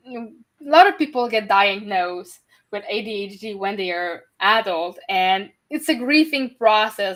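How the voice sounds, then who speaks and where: A woman talks fairly slowly with a Quebec accent, her pitch swinging very widely. The recording is very clean, with a silent background. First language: French. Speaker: podcast host and neurodiversity advocate. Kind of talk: interview.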